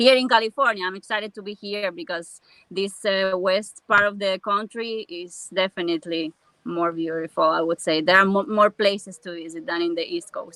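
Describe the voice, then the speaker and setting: A woman speaks at a moderate pace and a medium pitch, with ordinary pitch variation and big swings in loudness. Her tone is bright and sharp, and the sound is dry and close with no echo. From Cuba. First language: Spanish. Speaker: van lifer, former film sound recorder. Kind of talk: interview. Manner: halting.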